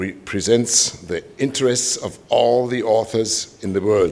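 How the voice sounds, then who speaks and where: A man speaks at a very slow pace with a German accent. His pitch varies in an ordinary way. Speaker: composer and organization president. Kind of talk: welcome speech. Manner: halting.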